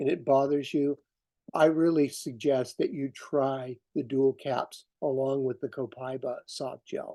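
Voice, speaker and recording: The man has a fairly high voice with a dark, mellow tone. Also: quiet background. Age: 60s. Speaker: essential oil wellness advocate. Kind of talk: product presentation. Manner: halting, many fillers.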